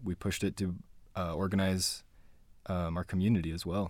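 In a Utah accent, a man talks fairly quickly with a very deep, low pitch and fairly even intonation. The recording is very clean, with a silent background. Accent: Utah American. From Utah (Spanish Fork and Payson). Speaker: community activist and organizer. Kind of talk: interview.

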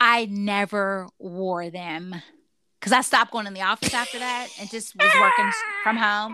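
In a normal speaking voice, a woman talks at a moderate pace and medium pitch with ordinary pitch variation and big swings in loudness. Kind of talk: casual chat.

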